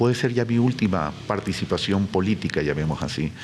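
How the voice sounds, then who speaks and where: A man with a fairly low voice speaks at a moderate pace with lively intonation over noticeable background noise. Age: 60s. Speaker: presidential candidate. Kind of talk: interview.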